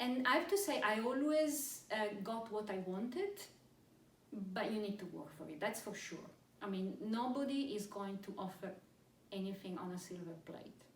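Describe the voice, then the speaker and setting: A woman with a non-native accent talks at a moderate pace and medium pitch with lively intonation, amid audible room echo and noticeable background noise. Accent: non-British foreign. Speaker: pharmaceutical executive. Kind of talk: interview. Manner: hesitant, many fillers and repetitions.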